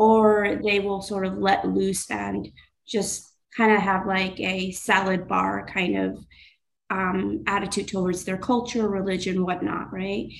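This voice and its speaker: Speaking at a fairly slow pace with fairly even intonation, a woman is heard against audible room echo. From Pakistan, raised in New York state. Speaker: mental health therapist. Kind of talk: interview.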